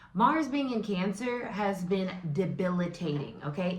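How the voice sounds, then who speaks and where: With noticeable background noise and audible room echo, the speaker uses lively intonation and an animated, excited tone at a fairly slow pace. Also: woman. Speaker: tarot reader and astrology host. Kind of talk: casual vlog-style tarot and astrology talk. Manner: loud.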